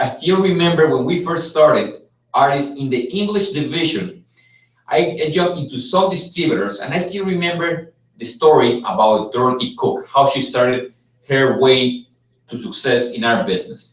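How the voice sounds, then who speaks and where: Speaking at a moderate pace with a Mexican accent, a man uses a fairly high pitch and lively intonation. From Mexico. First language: Spanish. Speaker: business executive. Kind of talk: live webcast presentation. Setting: live stream from Las Vegas.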